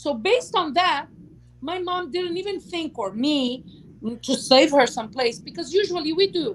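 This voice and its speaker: A woman speaks at a moderate pace. Her pitch is extremely high. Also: lively intonation. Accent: non-native. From Lebanon. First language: Portuguese. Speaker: YouTube talk show host. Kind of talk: casual chat livestream. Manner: long-winded.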